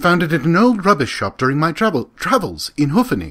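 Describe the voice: A man does a put-on character voice at a fairly high pitch with a fairly bright tone. His pace is fairly quick, and his pitch swings very wide.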